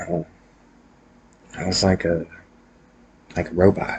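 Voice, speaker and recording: A man talks quietly at a moderate pace in a very deep, low voice. Background noise is noticeable. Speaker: vlogger sharing personal mental health story. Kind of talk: personal monologue vlog. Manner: quiet, subdued; hesitant, many fillers.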